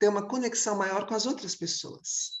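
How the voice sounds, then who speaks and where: The woman speaks at medium pitch with fairly even intonation. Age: 60s. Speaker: clown and theatre director. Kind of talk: panel discussion. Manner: halting.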